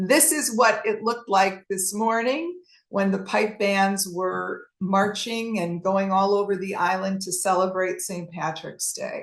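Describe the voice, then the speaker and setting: A woman with a Chicago accent speaks at a fairly slow pace, with hardly any pauses. Her pitch is medium, with ordinary variation. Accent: Chicago American English. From US Midwest, Chicago. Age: 60s. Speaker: travel presenter. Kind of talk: presentation with Q&A. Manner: halting.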